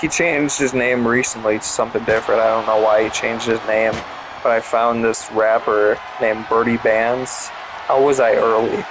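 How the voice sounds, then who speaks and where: Against noticeable background noise, a man with a medium pitch talks at a moderate pace in a monotone, flat intonation. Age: 20s. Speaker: gaming youtuber. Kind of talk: casual chat. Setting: gameplay recording. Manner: halting.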